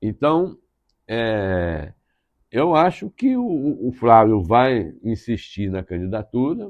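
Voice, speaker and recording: A man at a very slow pace and medium pitch, with very wide pitch swings. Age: 70s. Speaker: political journalist. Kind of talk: interview. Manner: halting.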